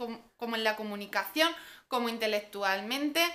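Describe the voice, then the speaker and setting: A woman's voice is high in pitch. Her tone is bright and sharp. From Spain. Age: 20s. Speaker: parenting vlogger. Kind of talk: vlog monologue. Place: home room. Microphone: camera far.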